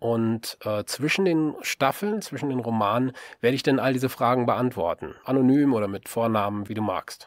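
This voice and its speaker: A man with a plain, everyday voice talks at a moderate pace, medium in pitch with ordinary pitch variation. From western Germany, Rhineland (Solingen, Leverkusen). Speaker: novelist and podcaster. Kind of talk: podcast introduction monologue. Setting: home-built voice booth.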